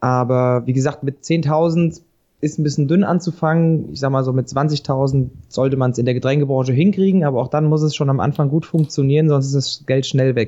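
Fairly high in pitch with a dark, mellow tone, a man speaks at a fairly quick pace with fairly even intonation. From Hesse, Vogelsbergkreis. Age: 30s. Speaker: spirits company founder. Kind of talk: casual interview. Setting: Skype call.

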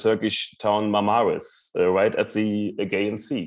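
A man speaks at a fairly slow pace with a German accent. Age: 40s. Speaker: long-distance cyclist. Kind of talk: interview.

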